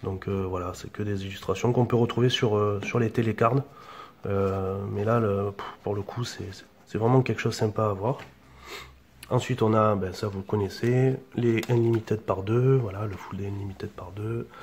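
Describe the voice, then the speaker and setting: Somewhat breathy, a man with a fairly low voice speaks at a moderate pace with fairly even intonation and big swings in loudness. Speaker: collector unboxing video host. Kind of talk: unboxing show-and-tell. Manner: monotone; hesitant, many fillers.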